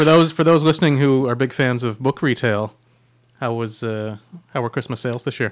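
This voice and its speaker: A man with a plain, everyday voice speaks at a fairly quick pace. His pitch is medium, with ordinary pitch variation. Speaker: magazine editor and podcast host. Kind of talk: casual chat. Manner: joking, playful.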